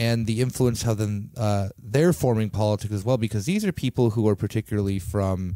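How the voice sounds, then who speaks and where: A man with an American accent speaks at a fairly low pitch with ordinary pitch variation and a dark, mellow tone. The recording is very clean, with a silent background and a dry, close sound with no echo. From United States, Greek American family. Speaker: podcast host. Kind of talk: casual interview. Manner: halting, many fillers.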